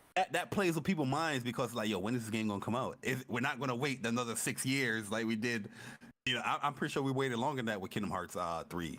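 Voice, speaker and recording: On a very clean recording with a silent background, a man talks loudly at a very fast pace, his medium-pitched voice full of lively intonation. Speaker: gaming podcast co-host. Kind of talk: casual chat. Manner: animated.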